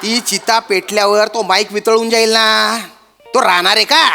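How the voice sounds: In a put-on character voice, a man speaks at a high pitch with a bright, sharp tone, vocal fry and little pitch movement, over faint background music. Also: moderate pace.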